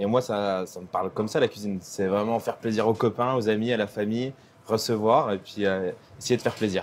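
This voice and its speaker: A man's ordinary speaking voice at a medium pitch, with ordinary pitch variation and a fairly quick pace. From Franche-Comté (Jura), France. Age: young. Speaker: chef. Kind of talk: casual explanation.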